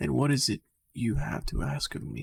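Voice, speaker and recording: A man's put-on character voice at medium pitch. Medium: read story. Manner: calm, direct.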